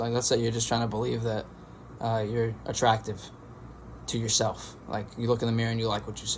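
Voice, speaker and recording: A man speaks at a very fast pace. His voice is medium-pitched and somewhat breathy. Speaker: meditation youtuber. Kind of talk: casual monologue.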